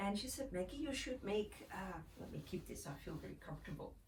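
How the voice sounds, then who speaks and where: A woman talks at a moderate pace with very wide pitch swings. Noticeable background noise and audible room echo surround her voice. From Netherlands, Amsterdam. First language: Dutch. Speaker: mother sharing breastfeeding tips. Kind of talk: casual vlog talk. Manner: halting, many fillers.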